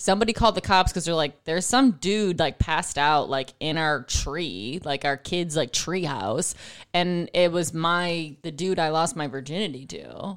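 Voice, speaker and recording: On a very clean recording with a silent background, a woman with an American accent speaks at a moderate pace in a fairly low pitch, a plain, everyday voice. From Buffalo, New York. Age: 30s. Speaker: comedian. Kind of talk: casual chat.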